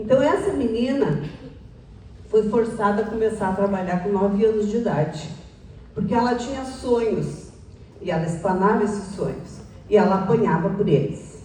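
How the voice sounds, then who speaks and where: Long, frequent pauses break up a woman's medium-pitched speech, with audible room echo. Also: ordinary pitch variation, moderate pace. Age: 60s. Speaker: public speaker. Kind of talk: talk to an audience.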